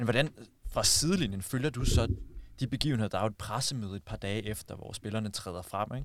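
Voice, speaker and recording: A man rattles off his words very fast, his medium pitch moving with ordinary variation. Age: 30s. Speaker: podcast host. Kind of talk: interview.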